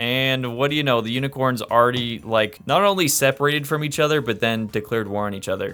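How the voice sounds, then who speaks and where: A man talks at a very fast pace in an animated tone with lively intonation. Noticeable background noise runs behind him. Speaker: gaming youtuber. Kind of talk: gameplay commentary. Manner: casual and animated.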